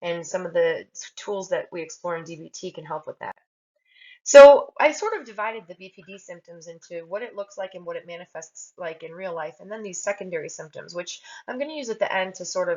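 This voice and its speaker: The speech moves at a fairly quick pace, with lively intonation and big swings in loudness. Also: woman, medium pitch for a woman. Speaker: mental health podcast host. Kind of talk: solo educational podcast talk. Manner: occasional speech blocks, stumbles; hesitant with frequent fillers.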